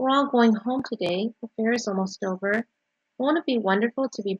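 In an unforced reading voice with ordinary pitch variation, the speaker talks against a quiet background.

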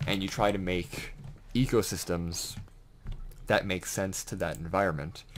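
Over light background noise, a man with a very deep, low pitch talks in an excited tone at a moderate pace. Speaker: gaming video creator and aspiring author. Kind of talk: casual gameplay commentary. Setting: home recording with keyboard and fish tank noise. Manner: rambling, stammering, excited. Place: home room.

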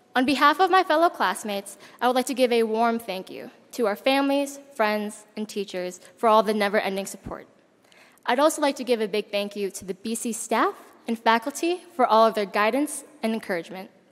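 A woman talks at a fairly quick pace, her loudness swinging widely. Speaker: speaker. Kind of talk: ceremonial welcome speech. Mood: warm, smiling. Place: hall. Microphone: podium.

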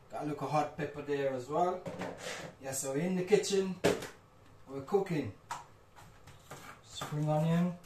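A man speaks at a fairly slow pace with long, frequent pauses, in a fairly high pitch with ordinary pitch variation. His tone is slightly mellow, and audible room echo is present.

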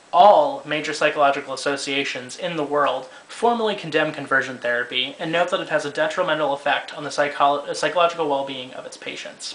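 Words pour out of the man at a very fast pace. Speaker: activist vlogger. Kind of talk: opinion commentary. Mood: earnest, argumentative. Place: home room. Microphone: webcam.

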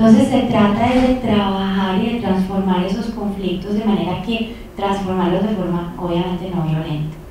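Strong room echo and light background noise surround a woman's voice. She speaks with hardly any pauses and fairly even intonation. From Colombia, Medellín. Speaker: peace studies professor. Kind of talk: lecture. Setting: lecture hall with audience. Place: hall.

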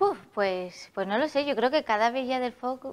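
At a fairly slow pace, an unremarkable speaking voice moves with ordinary pitch variation. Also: woman. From Alicante, Spain; Spain. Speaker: festival queen; interview guest. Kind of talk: TV interview. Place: studio. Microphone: lapel.

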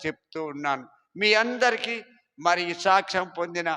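A man uses a raised, projected voice, high in pitch with ordinary variation and a bright, sharp tone. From East Godavari agency area, Andhra Pradesh, India. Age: 70s. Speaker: church founder. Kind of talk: testimony. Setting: church.

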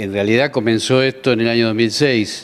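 A man holds a moderate pace, his pitch staying fairly level. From Argentina. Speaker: federal judge. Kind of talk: news interview. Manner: measured, with frequent hesitations. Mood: serious, earnest. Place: office. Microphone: handheld.

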